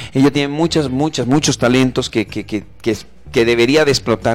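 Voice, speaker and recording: His pitch shows ordinary variation. The man speaks fairly quickly. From Mexico. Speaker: comedian. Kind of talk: casual chat.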